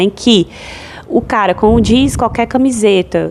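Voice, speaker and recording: Lively intonation colors an unremarkable speaking voice as a woman talks at a moderate pace. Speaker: podcast host. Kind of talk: solo podcast monologue.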